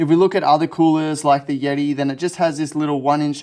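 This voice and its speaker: In an Australian accent, a man speaks with a fairly high pitch and fairly even intonation. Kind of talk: product unboxing review to camera.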